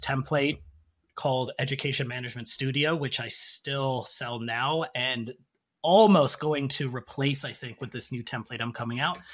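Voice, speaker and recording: At a moderate pace, a man with a Canadian accent speaks in a normal speaking voice at a fairly high pitch, with ordinary pitch variation, in a very clean recording with a silent background. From Canada. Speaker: English teacher and template creator. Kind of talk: casual interview.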